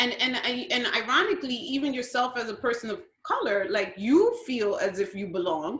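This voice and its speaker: In a New York accent, a woman with a high pitch talks at a moderate pace with very wide pitch swings and hardly any pauses. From Brooklyn, New York (Williamsburg), Guatemalan parents. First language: Spanish. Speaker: school principal. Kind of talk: interview.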